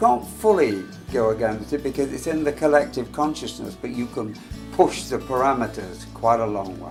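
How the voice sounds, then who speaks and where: A man speaks in an English accent at a moderate pace. Music plays in the background. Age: 80s+. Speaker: actor. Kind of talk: reflective talk to camera.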